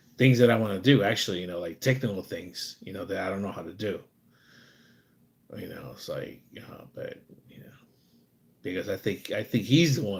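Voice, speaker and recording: A man with an American accent speaks at a fairly quick pace, somewhat breathy and fairly low in pitch, with lively intonation. His loudness swings widely, and he takes long, frequent pauses. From USA. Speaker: live streamer. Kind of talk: casual live stream chat. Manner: rambling, repetitive fillers.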